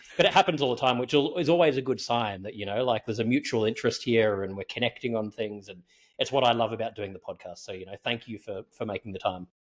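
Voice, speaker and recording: A man rattles off his words at a very fast pace in a strong Australian accent. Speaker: podcast host. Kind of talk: interview. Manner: casual.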